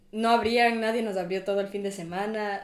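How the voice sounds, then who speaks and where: Audible room echo surrounds a woman speaking at a moderate pace and medium pitch. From Ecuador. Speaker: university student. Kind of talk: casual chat.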